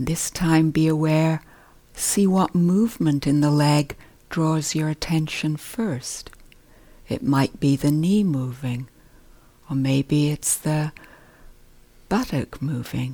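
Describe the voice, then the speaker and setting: A woman's very deep, low voice in a calm, gentle, dark and mellow tone, with ordinary pitch variation, a very slow pace and long, frequent pauses. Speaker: meditation teacher. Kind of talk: guided meditation. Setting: meditation retreat hall. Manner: calm, slow, gentle; soft-spoken, unhurried with pauses.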